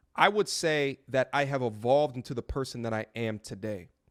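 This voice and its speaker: On a very clean recording with a silent background and a dry, close sound with no echo, a man speaks at medium pitch and a moderate pace in a plain, everyday voice with ordinary pitch variation. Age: 30s. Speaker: YouTuber giving advice to men. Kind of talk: interview.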